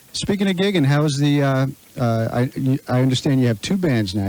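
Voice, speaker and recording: With an American accent, a man speaks at a moderate pace. His tone is dark and mellow, his intonation lively. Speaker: radio show host. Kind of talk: radio interviewer.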